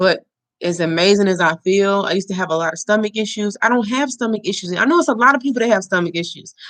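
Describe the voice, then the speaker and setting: Someone talks at a very fast pace in an American accent. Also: woman, medium pitch for a woman, ordinary pitch variation. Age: 20s. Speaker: livestream host. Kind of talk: casual livestream chat.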